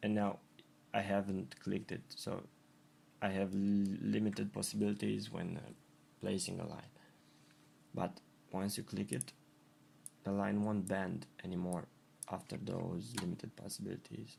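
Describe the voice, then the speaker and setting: A man with a non-native accent speaks in a dark, mellow tone at a fairly low pitch. His pace is moderate, with long, frequent pauses and ordinary pitch variation. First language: not English. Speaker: graphic designer. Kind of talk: tutorial. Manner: halting, with repetitions.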